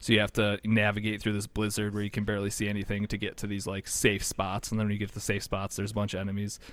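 A man's fairly low voice at a very fast pace, on a very clean recording with a silent background. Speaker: podcast host. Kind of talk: casual chat. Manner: laughs often, joking.

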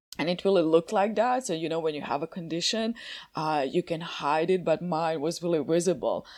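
Speaking fairly quickly with a Croatian accent, a woman uses a fairly low pitch and ordinary variation, recorded very cleanly with a silent background. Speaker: coaching method instructor and coach. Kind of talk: interview podcast. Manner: halting, frequent repetitions.

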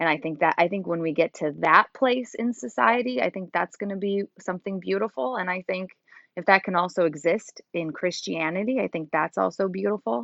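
A woman's lively intonation carries through an ordinary speaking voice as she talks at a fairly quick pace. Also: medium pitch for a woman. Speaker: co-host, interviewer. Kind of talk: casual conversation.

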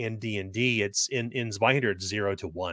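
An unremarkable speaking voice from a man with an American accent, fairly quick in pace, with ordinary pitch variation and a dry, close sound with no echo. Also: very clean recording, silent background. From United States. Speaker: game designer. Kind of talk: casual chat.

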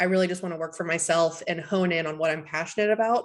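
At a fairly quick pace, a normal speaking voice with an American accent keeps a fairly even intonation. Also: woman. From US South, Tennessee. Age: 20s. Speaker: marketing consultant and business founder. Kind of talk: interview.

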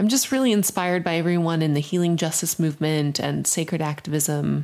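This is an ordinary speaking voice from a woman, pitched fairly low. She talks at a moderate pace with ordinary pitch variation. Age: 30s. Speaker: podcast co-host, spiritual director. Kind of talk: casual conversation.

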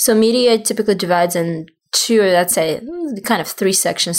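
A woman with a Russian accent at medium pitch, moderate pace and ordinary pitch variation. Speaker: PR agency founder. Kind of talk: interview. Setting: in person in Miami.

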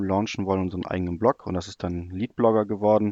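Very fast and in a flat monotone, a man speaks with a very deep, low pitch and a dark, mellow tone against a quiet background. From Germany, near Cologne. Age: 20s. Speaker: football analytics blogger. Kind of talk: podcast interview, casual chat. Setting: remote call.

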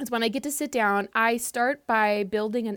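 A woman with an unremarkable speaking voice, fairly high in pitch and fairly slow, on a very clean recording with a silent background. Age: 30s. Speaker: cookbook author. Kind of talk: casual chat.

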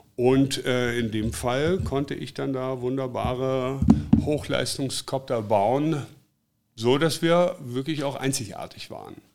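Very slow delivery carries ordinary pitch variation. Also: man, medium pitch for a man. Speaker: drone filming company founder. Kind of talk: interview. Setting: in his workshop.

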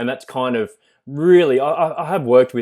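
A man with an Australian accent talks, his pitch varying in an ordinary way. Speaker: zookeeper. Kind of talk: interview.

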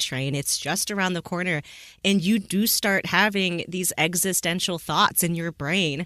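A fairly low-pitched woman's voice with a bright, sharp tone, ordinary pitch variation and a fairly slow pace. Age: 30s. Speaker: podcast host. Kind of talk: casual interview. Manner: animated.

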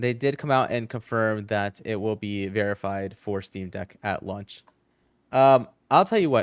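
In a normal speaking voice, a man talks at a fairly slow pace, fairly low in pitch with ordinary pitch variation, the sound dry and close with no echo. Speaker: gaming podcast host. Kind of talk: casual chat. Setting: online call, livestream.

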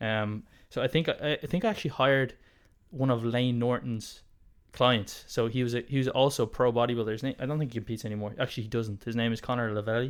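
Very fast speech comes from a man with an Irish accent. His medium-pitched voice keeps a fairly even intonation. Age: 20s. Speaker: podcast host, natural bodybuilder. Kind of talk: casual interview.

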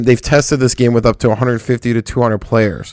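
On a very clean recording with a silent background, a man uses an ordinary speaking voice at a medium pitch and a moderate pace. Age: 30s. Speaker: gaming podcast host. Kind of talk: casual chat.

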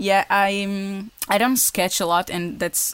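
With a Portuguese accent, a woman speaks at a moderate pace. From Portugal. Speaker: woodworking YouTuber. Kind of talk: casual interview. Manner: halting.

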